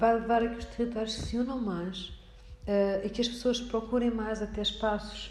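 Delivery comes at a moderate pace with fairly even intonation. Audible room echo and noticeable background noise are present. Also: woman. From Portugal, Alcobaça. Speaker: lecturer. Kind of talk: interview. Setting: municipal library room.

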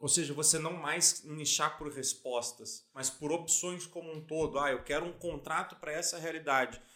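At a moderate pace with hardly any pauses, a man speaks in an unremarkable speaking voice with fairly even intonation. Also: fairly high pitch for a man. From Santa Catarina, Brazil (Lages). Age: 20s. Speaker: lawyer and legal tech entrepreneur. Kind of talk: casual interview.

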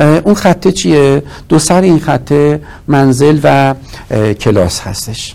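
The voice belongs to a man and sits fairly high in pitch. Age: 50s. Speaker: marketing professor and business consultant. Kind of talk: interview.

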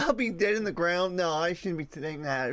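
Moving at a fairly quick pace, a man speaks in a high pitch, his pitch varying in an ordinary way. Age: 30s. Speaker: podcast host. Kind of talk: solo casual monologue. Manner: halting.

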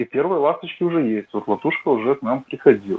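A man is speaking. He goes at a moderate pace. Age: 30s. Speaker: political assembly delegate. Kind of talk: online panel discussion. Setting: voice chat.

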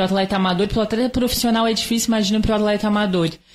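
A woman speaks with fairly even intonation in a somewhat breathy voice of medium pitch. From Brazil, Santa Catarina. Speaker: triathlete and physical education professional. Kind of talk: interview.

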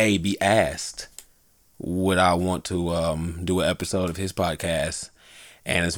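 A man talks in a very deep, low voice. His intonation is monotone and flat. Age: 30s. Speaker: podcast host. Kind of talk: casual chat.

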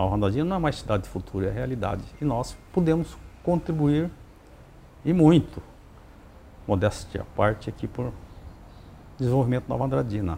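A man of medium pitch at a moderate pace, with very wide pitch swings and long, frequent pauses. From Paraná, Brazil (Terra Rica). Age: 60s. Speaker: mayor. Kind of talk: interview. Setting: at the guest's home.

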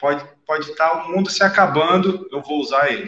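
A man's voice with a bright, sharp tone. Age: 40s. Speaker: special operations police officer and day trader. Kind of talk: podcast interview. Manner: halting, repeats words. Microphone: echo, volume dropping.

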